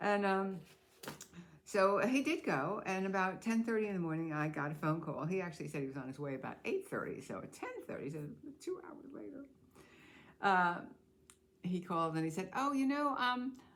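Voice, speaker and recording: Amid audible room echo, a woman with an American accent speaks at a moderate pace in a medium pitch, her pitch swinging very widely, her loudness shifting in big swings, with long, frequent pauses. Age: old. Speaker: expat vlogger. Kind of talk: casual vlog storytelling. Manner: halting with many fillers.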